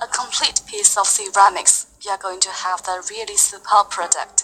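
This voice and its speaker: Amid noticeable background noise, a woman with a Chinese accent speaks at medium pitch and a moderate pace with fairly even intonation. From China. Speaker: company executive presenting a phone. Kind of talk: product presentation.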